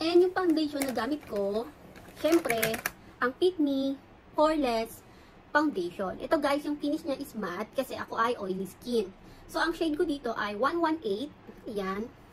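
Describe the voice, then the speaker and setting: Amid noticeable background noise, a woman speaks at a moderate pace with a high pitch and very wide pitch swings. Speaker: beauty vlogger. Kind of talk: get ready with me vlog. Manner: soft-spoken.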